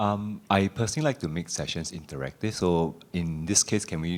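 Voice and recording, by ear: A man speaks at a fairly quick pace in a low pitch with a slightly mellow tone and ordinary pitch variation, on a very clean recording, silent background.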